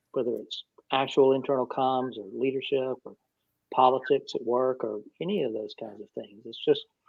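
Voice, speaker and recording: With an Atlanta accent, a man talks in a relaxed tone at a moderate pace and medium pitch, his intonation fairly even. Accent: sounds like he's from the Atlanta area. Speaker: communications consultant and mentor. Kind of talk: live Q&A panel. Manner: relaxed, conversational with repetitions.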